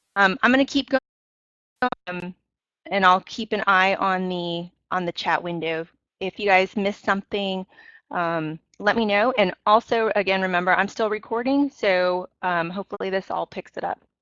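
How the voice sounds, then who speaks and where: A woman speaks in a medium pitch at a moderate pace. Her pitch varies in an ordinary way. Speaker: faculty development trainer. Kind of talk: webinar tutorial. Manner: loud.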